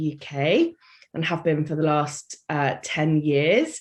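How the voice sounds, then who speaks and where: A woman with a British accent, talking at a very slow pace against a quiet background. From UK. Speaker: life coach and charity worker. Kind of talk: podcast interview.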